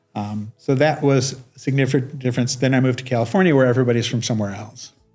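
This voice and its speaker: Music plays in the background as a man with an American accent talks at a very fast pace. His intonation is fairly even. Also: medium pitch for a man. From US Midwest, Detroit suburb. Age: 60s. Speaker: network engineer and executive. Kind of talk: interview. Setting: podcast. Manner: halting, with many repeated words.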